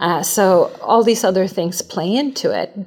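A woman with a Swedish accent speaks at a medium pitch. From Sweden. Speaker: branding agency CEO. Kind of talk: interview.

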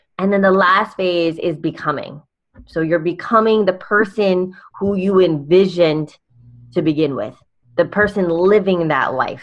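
Using an ordinary speaking voice, a woman with an American accent talks at a moderate pace in a medium pitch, her intonation fairly even and her loudness swinging widely. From California. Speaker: life coach and speaker.

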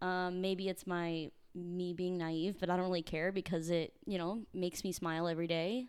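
This woman has an ordinary speaking voice, fairly low in pitch, with an American accent, very even loudness, fairly even intonation, a moderate pace and hardly any pauses. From US Midwest, near St. Louis, Missouri. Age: 20s. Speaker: podcast co-host, dancer. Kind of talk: casual chat.

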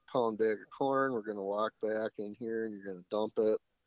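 A man at a medium pitch in a flat monotone, at a moderate pace, with a dry, close sound and no echo. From Wisconsin. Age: 30s. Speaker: public land deer hunter. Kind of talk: casual interview chat.

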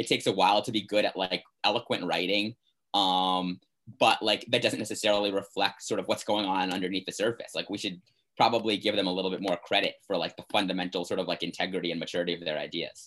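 A man speaks at a very fast pace in a fairly low pitch. His intonation is monotone and flat. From US, Maryland (Bethesda, near Washington DC). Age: 20s. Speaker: university student. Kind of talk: casual interview.

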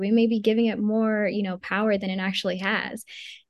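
Against a quiet background, a woman with an American accent and a normal speaking voice talks fairly quickly at a fairly high pitch, her intonation fairly even. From Maryland. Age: 20s. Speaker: magazine founder. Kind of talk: interview. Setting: video call.

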